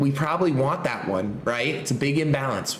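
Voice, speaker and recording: A man's animated delivery comes through noticeable background noise and an audible echo from the room. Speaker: trading educator. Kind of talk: tutorial.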